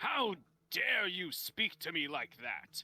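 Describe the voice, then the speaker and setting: At a fairly slow pace, a man does a put-on character voice pitched high. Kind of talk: formal and lordly. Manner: haughty, indignant.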